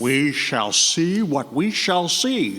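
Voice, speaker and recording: A man puts on a character voice. His pitch sits fairly high for a man. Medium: audio drama. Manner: slow, plain.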